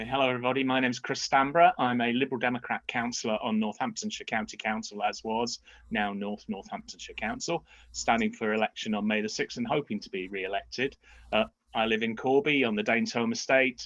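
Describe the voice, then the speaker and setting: Very fast male speech at a medium pitch. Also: ordinary pitch variation. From Essex, England. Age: 60s. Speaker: councillor, election candidate. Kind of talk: candidate introduction at hustings.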